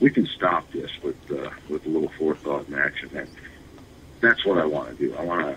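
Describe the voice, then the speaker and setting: With an American accent, a man talks at a fairly quick pace. There is noticeable background noise. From US Midwest, northern Michigan. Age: 60s. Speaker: congressional candidate. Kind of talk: interview. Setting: internet radio. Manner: halting, many fillers and repeats.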